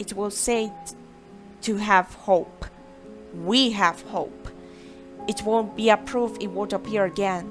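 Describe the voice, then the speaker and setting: Over background music, a woman with a Brazilian accent talks at a very slow pace with long, frequent pauses, her medium pitch showing ordinary variation. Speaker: amateur fiction author reading own story. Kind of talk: story narration.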